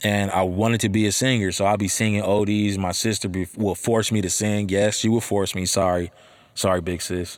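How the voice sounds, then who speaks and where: Speaking at a fairly quick pace in an animated tone, a man with a fairly low pitch is heard in a very clean recording with a silent background. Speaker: podcast host and rapper. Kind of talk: casual solo podcast monologue. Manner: animated, informal, slangy.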